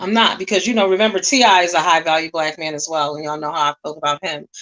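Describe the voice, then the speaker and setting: A loud woman's voice. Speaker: livestream commentator. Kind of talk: casual commentary rant. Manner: strong, forceful.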